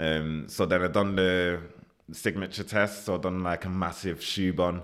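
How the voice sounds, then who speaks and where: A man talks with a Mancunian accent at a moderate pace. His pitch is very deep and low. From Manchester, northern England. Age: 20s. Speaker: chef. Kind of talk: casual interview.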